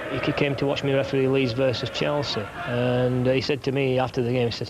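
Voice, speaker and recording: A man in a Yorkshire accent speaks very fast in a monotone, flat delivery. There is noticeable background noise. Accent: broad Yorkshire. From northern England, Barnsley, Yorkshire. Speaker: football referee. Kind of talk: documentary interview. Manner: halting, many fillers and repeats.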